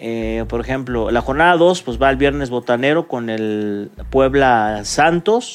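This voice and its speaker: Talking at a fairly slow pace with hardly any pauses, the speaker has a plain, everyday voice and lively intonation. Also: man, medium pitch for a man. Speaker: sports radio host. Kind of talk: sports talk show.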